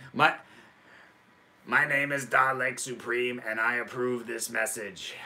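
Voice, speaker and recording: A man puts on a robotic character voice at a medium pitch, speaking at a fairly slow pace with long, frequent pauses. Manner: harsh, mechanical.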